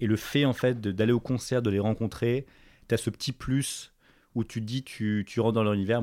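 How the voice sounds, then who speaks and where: This man's voice has a dark, mellow tone, captured in a very clean recording with a silent background. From Paris, France. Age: 20s. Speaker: fashion entrepreneur. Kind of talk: casual interview. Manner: animated.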